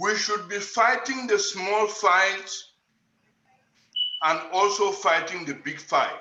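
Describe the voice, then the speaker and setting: A man speaks in a raised, projected voice at a high pitch, very slowly, with long, frequent pauses. Room echo can be heard. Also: ordinary pitch variation. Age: 70s. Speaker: panel participant, writer. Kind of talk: panel discussion. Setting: video call.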